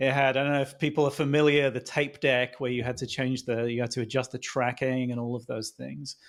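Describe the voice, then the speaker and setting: Against a silent background on a very clean recording, a man at medium pitch speaks at a fairly quick pace with fairly even intonation. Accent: British. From UK. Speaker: startup founder and CEO. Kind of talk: podcast interview.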